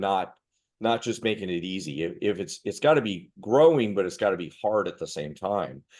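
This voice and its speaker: Over a quiet background, a man with an unremarkable speaking voice and a fairly low pitch talks at a moderate pace. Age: 50s. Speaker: martial arts master instructor. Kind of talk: casual chat.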